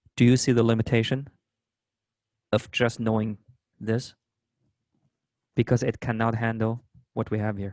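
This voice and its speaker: With a non-native accent, a man speaks at medium pitch in a monotone, flat way with long, frequent pauses, the sound dry and close with no echo. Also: moderate pace. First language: not English. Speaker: math instructor. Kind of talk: lecture.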